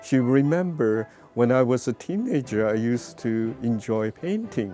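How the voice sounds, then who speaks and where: A man with a Chinese accent at medium pitch, ordinary pitch variation and a fairly slow pace, music in the background. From northwestern China. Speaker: painter. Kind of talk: personal interview storytelling. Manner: halting.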